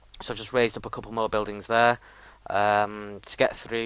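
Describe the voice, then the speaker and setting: A man's very fast, monotone, flat delivery. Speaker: gaming video creator. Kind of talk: gameplay commentary. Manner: casual, hesitant with many ums.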